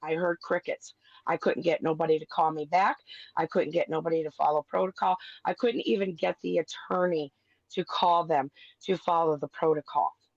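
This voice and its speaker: This woman has a normal speaking voice, fairly low in pitch with ordinary variation, at a moderate pace. The sound is dry and close, with no echo. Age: 50s. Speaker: parent in custody case. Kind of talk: heated debate.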